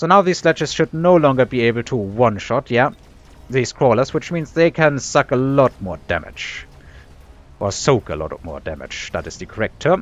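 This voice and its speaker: A man's medium-pitched voice with a German accent, very wide pitch swings and big jumps in loudness, at a moderate pace over background music. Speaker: video game commentator. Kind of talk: gameplay commentary. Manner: casual, with frequent fillers.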